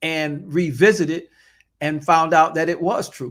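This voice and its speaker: On a very clean recording with a silent background, a man speaks in an unremarkable speaking voice. His pitch is fairly high, his intonation fairly even, and his pace moderate. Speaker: pastor. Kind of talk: podcast interview answer.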